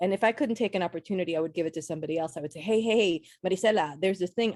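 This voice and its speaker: A woman talks at a very fast pace with hardly any pauses and an animated tone. Her medium pitch comes through in a dry, close sound with no echo. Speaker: playwright and actor. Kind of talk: interview.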